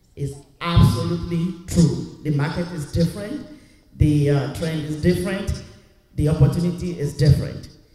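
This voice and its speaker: A man's fairly even intonation amid noticeable background noise. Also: moderate pace. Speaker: audience member, job seeker. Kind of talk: audience question. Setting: church.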